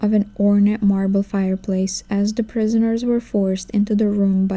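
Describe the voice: The speaker reads aloud plainly with fairly even intonation.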